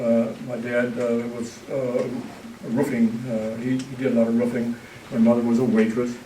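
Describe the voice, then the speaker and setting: At a moderate pace, the speaker talks over noticeable background noise with audible room echo. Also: man. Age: 70s. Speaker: author. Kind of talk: public talk. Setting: stage with audience. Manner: halting.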